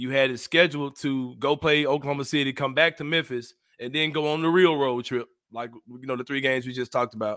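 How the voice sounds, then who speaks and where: Speaking at a very fast pace, a man has a fairly high pitch. His intonation stays fairly even. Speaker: sports writer and podcaster. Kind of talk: casual sports podcast chat. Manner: laid-back, slangy.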